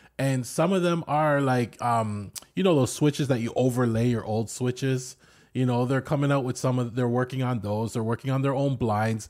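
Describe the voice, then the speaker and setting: A man speaks with a Canadian accent at a moderate pace, in an ordinary speaking voice with medium pitch and ordinary pitch variation. The recording is very clean, with a silent background. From Canada. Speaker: podcast co-host. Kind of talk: casual chat.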